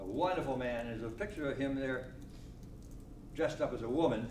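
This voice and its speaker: A man with an American accent talks at a very fast pace, his pitch medium and his intonation fairly even. Noticeable background noise and audible room echo fill the recording. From Connecticut. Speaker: elderly local resident. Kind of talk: oral history talk. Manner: loud.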